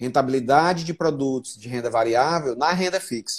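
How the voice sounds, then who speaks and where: This man has a plain, everyday voice, pitched in the middle range, with ordinary pitch variation at a moderate pace. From Brazil, Fortaleza (Northeast). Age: 40s. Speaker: entrepreneur and investor. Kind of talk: casual chat.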